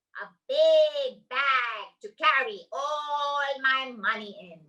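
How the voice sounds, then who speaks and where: Put-on character voice, delivered at a very slow pace. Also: woman, high pitch for a woman. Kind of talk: bedtime story. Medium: read story. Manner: lively, earnest.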